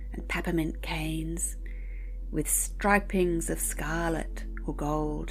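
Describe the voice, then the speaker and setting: A woman talks at a very slow pace in a gentle, soothing tone. Music plays in the background. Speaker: poetry reader. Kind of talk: bedtime poetry reading. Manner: gentle, soothing, calm.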